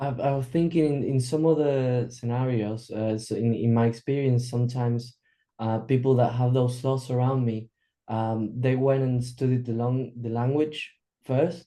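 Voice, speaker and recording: With a Spanish accent, a man speaks at a medium pitch and a moderate pace, with a dark, mellow tone and fairly even intonation. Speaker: workshop participant. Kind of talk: group coaching discussion. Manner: halting, many fillers and repeats.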